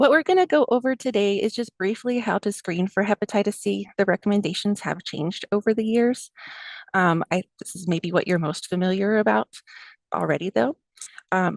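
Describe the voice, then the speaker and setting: Lively in intonation, a woman at medium pitch talks fairly quickly, recorded dry and close with no echo. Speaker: family medicine doctor. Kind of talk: lecture.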